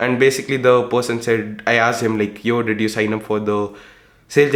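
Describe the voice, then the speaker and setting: A man with an Indian accent speaks at medium pitch and a moderate pace. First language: Hindi. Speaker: entrepreneur and YouTuber. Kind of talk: casual vlog monologue. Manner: animated.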